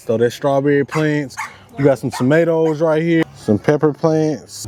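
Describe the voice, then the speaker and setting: A man speaks at a moderate pace with a fairly high pitch. Noticeable background noise is present. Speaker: homesteader vlogger. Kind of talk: casual vlog tutorial.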